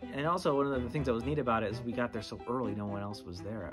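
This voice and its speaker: Clear music plays behind the man as he talks. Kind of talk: documentary interview recollection. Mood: relaxed, reflective. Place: classroom.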